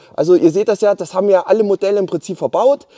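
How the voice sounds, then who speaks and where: A high-pitched man with an animated, enthusiastic tone, recorded with a dry, close sound with no echo against a quiet background. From eastern Germany. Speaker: car YouTuber. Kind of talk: casual vlog talk to viewers. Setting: in a car, in a workshop in Switzerland.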